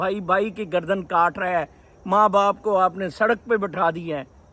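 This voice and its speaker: A raised, projected voice with a bright, sharp tone. The recording is very clean, with a silent background. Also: man. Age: 60s. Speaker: vlogger. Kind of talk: casual vlog monologue. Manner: code-switching Urdu-English.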